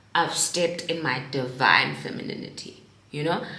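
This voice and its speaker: An animated woman with a fairly low pitch speaks amid noticeable background noise and audible room echo. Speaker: lifestyle vlogger. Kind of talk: casual chat. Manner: loud.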